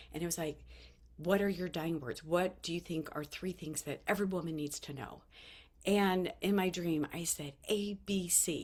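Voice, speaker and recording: This woman has an unremarkable speaking voice with fairly low pitch and fairly even intonation, at a moderate pace. The recording is very clean with a silent background. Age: 50s. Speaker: vlogger sharing life lessons. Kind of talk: casual motivational talk to camera.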